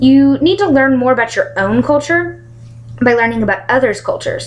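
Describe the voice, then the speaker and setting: Noticeable background noise runs under a woman speaking at a fairly quick pace. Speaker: college student. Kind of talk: class presentation speech. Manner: fast.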